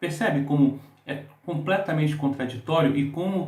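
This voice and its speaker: A man with a fairly high voice speaks at a moderate pace. Noticeable background noise and audible room echo come through. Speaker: book reviewer. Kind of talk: book review monologue.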